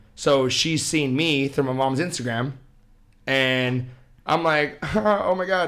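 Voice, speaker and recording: A man's voice with audible room echo. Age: 20s. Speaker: podcast guest, friend of host. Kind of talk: casual chat.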